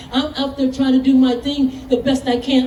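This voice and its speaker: In a room with audible echo and noticeable background noise, a woman speaks at a high pitch and moderate pace in a monotone, flat way. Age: 60s. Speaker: motorcycle rider and fighter trainer. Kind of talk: casual chat.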